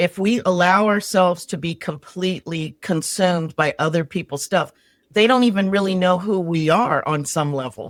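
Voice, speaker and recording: In a very clean recording with a silent background, a woman with a fairly low voice and ordinary pitch variation speaks in an unremarkable speaking voice. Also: moderate pace. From New York, the Bronx. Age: 60s. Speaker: resilience strategist. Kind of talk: casual chat.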